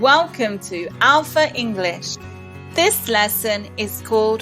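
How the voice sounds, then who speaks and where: A woman talks at a very slow pace with music in the background. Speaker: English teacher. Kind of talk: ESL lesson narration. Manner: slow, clear.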